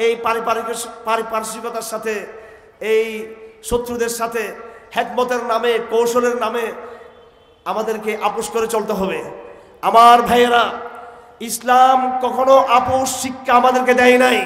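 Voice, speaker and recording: In an extremely high, monotone voice with flat intonation, a man speaks amid audible room echo. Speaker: preacher. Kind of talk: sermon. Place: stage. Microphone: podium.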